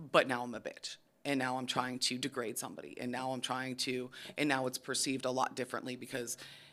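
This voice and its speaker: Speaking at a fairly quick pace, a woman with an American accent has a very deep, low pitch. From Pittsburgh, US. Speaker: criminal defense attorney. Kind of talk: podcast interview. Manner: loud; monotone.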